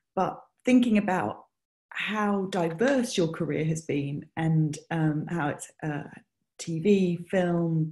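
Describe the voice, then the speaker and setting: Speaking very slowly in a British accent, a woman has a dark, mellow tone and ordinary pitch variation. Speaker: music supervisor. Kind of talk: interview. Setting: video call.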